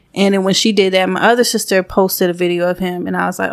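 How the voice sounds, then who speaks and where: A woman at medium pitch with monotone, flat intonation. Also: very clean recording, silent background. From Georgia, US South (Gwinnett area). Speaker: podcast co-host. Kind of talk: casual chat.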